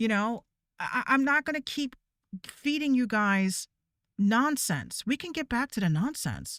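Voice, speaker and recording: Shouting and loud, a woman with a high pitch uses an animated tone and lively intonation. The recording is very clean, with a silent background. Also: dry, close sound with no echo. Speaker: VTuber streamer. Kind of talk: rant. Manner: loud, yelling.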